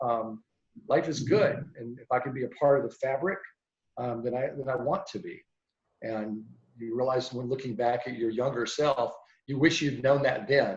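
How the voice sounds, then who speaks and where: A somewhat breathy man talks with an American accent and ordinary pitch variation. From US South. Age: 60s. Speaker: meteorologist. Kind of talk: interview. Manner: reflective.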